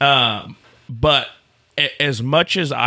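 The man's voice sits fairly high in pitch, with ordinary pitch variation. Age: 20s. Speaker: rodeo announcer. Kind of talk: casual chat.

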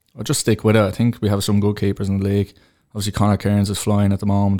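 With a Dublin accent, a man talks at a fairly low pitch in a dark, mellow tone. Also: very clean recording, silent background. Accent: Dublin Irish. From Tallaght, Dublin, Ireland. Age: 30s. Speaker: goalkeeper and teacher. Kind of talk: interview.

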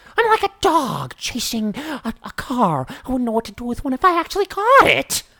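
Moderate pace and a fairly high pitch in a put-on character voice. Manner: manic, unhinged.

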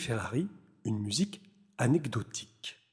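The voice belongs to a man and is dark, mellow, and somewhat breathy. He speaks at a very slow pace. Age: 40s. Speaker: composer and radio host. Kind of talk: radio show presentation mixed with self-interview. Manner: hesitant, many fillers.

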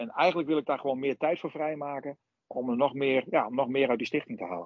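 A man with a normal speaking voice, fairly high in pitch, at a fairly quick pace. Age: 50s. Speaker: supermarket owner. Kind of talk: interview.

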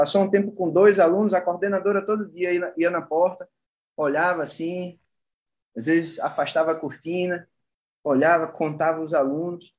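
A man's high-pitched speech at a moderate pace. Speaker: yoga teacher. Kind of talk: casual chat.

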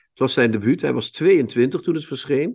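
At a fairly slow pace, a man with a normal speaking voice and medium pitch talks against a quiet background. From Limburg, Netherlands. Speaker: literary podcast host. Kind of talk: casual chat. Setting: video call.

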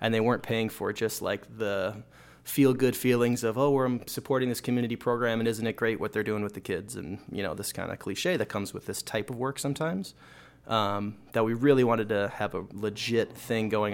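A man with an Upper Midwest accent speaks at a fairly low pitch and a fairly quick pace. His intonation is fairly even. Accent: Upper Midwest American. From Minnesota, Minneapolis suburbs. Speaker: bicycle mechanic and bike shop manager. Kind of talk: interview. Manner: casual, many fillers.

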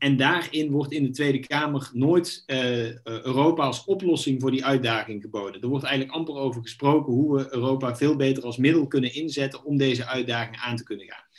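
A man with a normal speaking voice at medium pitch, moving at a fairly quick pace with hardly any pauses and fairly even intonation. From Netherlands, North Brabant. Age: 30s. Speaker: politician. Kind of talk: interview.

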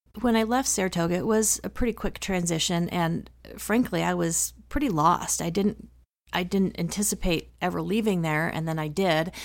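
A woman's normal speaking voice, fairly low in pitch with ordinary pitch variation, at a moderate pace in a very clean recording with a silent background. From Wyoming (teen years; earlier Chicago, Dallas). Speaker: emergency room physician. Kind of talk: interview. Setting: in-person interview in rural Wyoming.

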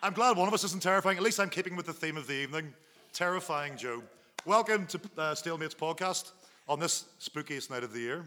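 The speech races along at a very fast pace with ordinary pitch variation. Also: man, high pitch for a man. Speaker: podcast host. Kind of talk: live podcast recording with audience. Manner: loud.

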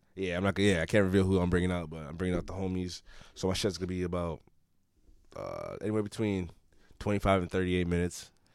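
Talking at a very fast pace, a man with an American accent and a very deep, low pitch holds a monotone, flat intonation on a very clean recording with a silent background. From Everett, Massachusetts. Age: 20s. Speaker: rapper. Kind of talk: casual chat.

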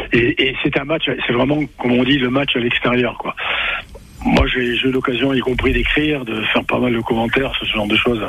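With fairly even intonation, a man keeps to a medium pitch while noticeable background noise plays behind him. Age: 70s. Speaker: former rugby coach. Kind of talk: radio sports talk. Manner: halting, repetitive.

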